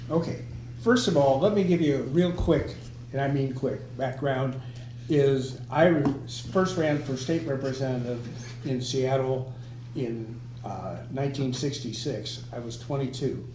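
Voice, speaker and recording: A man talks at medium pitch in a room with audible echo. Noticeable background noise is present. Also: ordinary pitch variation. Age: 80s+. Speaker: former local politician. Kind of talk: casual group discussion.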